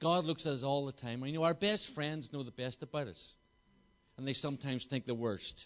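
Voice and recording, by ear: Fairly quick in pace, a man speaks with a Belfast accent and a fairly bright tone. His pitch varies in an ordinary way. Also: medium pitch for a man. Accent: Northern Irish, Belfast.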